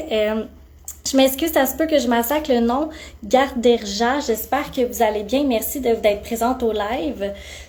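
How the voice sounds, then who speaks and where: In a Quebec accent, a woman with a high pitch speaks at a fairly slow pace with ordinary pitch variation. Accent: Québécois French. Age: 20s. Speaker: aesthetic clinic practitioner. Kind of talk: live-stream Q&A. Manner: animated.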